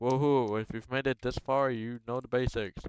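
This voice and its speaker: A man speaks with a non-native accent at a moderate pace. The sound is dry and close with no echo. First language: not English. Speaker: Roblox tutorial maker. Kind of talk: screen-recorded tutorial. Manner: casual, halting with many fillers.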